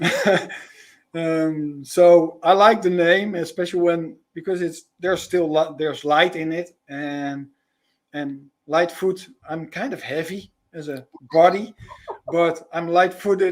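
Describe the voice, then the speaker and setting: Very slowly, a man speaks with a Dutch accent and fairly even intonation. His high voice has big swings in loudness. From Netherlands. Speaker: spiritual guide and sound healer. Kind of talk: live podcast interview. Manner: halting, many repetitions.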